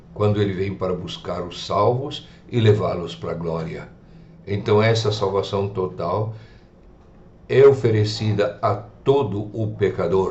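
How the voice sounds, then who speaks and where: In a room with audible echo, a man with a fairly low pitch speaks at a fairly slow pace with ordinary pitch variation. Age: 70s. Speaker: preacher. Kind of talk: radio sermon.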